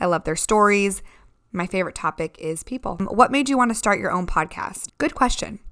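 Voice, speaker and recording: A woman speaks at a fairly quick pace with lively intonation and a bright, sharp tone at medium pitch, on a very clean recording with a silent background. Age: 20s. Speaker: podcast host. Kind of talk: solo Q&A podcast. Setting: home living room. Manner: casual, chatty with laughs.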